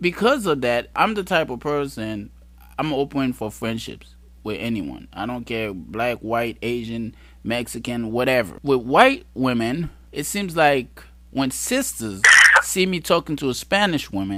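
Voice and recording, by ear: At a fairly slow pace, a man with a medium pitch and a fairly bright tone speaks with lively intonation.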